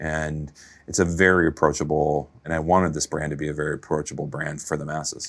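Fairly quick, monotone delivery with flat intonation, in an American accent. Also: man, very deep, low pitch for a man. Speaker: fashion designer and entrepreneur. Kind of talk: casual interview.

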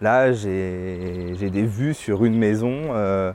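Male speech, fairly low in pitch, with normal pitch movement. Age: 30s. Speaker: cultural venue director. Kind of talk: casual interview.

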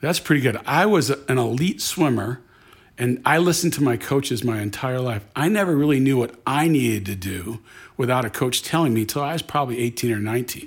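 On a very clean recording with a silent background, a man with a plain, everyday voice speaks at a fairly quick pace in a medium pitch with lively intonation. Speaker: franchise company CEO. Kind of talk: interview. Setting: in person, on location.

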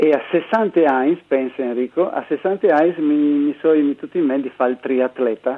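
Featuring an unremarkable speaking voice, a man talks at a fairly slow pace with a fairly high pitch, ordinary pitch variation and hardly any pauses. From Friuli, Italy. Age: 60s. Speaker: amateur triathlete and author. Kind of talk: radio interview.

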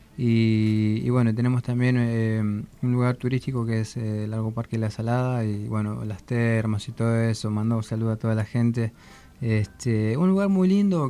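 With music in the background, a man with a medium pitch speaks at a moderate pace with fairly even intonation. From Argentina, southern Buenos Aires province. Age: young. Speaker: singer. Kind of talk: radio interview. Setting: studio. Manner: halting.

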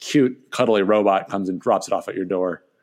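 The speaker sounds upbeat and enthusiastic, moving at a fairly quick pace with ordinary pitch variation over a quiet background. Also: man. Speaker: co-host, media and marketing VP. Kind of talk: casual podcast banter. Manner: upbeat, enthusiastic.

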